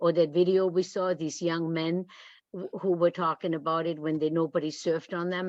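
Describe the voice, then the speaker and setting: Monotone, flat delivery from a woman with a non-native accent at a moderate pace. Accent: foreign. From outside the US. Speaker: retired history teacher. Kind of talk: group discussion. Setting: video call.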